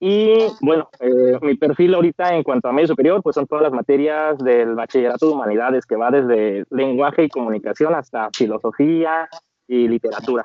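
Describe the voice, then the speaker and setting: In a normal speaking voice, a man with a fairly high pitch talks at a moderate pace with lively intonation and hardly any pauses. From Mexico, Celaya, Guanajuato. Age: 30s. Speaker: lawyer and teacher. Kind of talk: interview.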